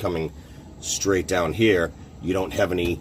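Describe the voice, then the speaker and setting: Over music in the background, a man with an American accent speaks in a very deep, low voice with fairly even intonation. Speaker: car hobbyist video maker. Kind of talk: DIY tutorial. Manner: casual, hesitant with fillers.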